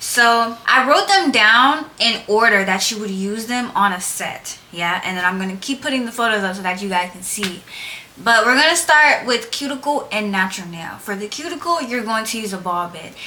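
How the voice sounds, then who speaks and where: A woman speaks at a moderate pace with lively intonation and big swings in loudness, over noticeable background noise and audible room echo. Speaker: nail technician YouTuber. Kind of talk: casual tutorial vlog. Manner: loud, projecting voice; casual, chatty. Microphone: no microphone, camera audio.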